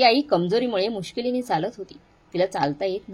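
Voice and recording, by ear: Natural-voiced reading aloud, the pitch rising and falling in an ordinary way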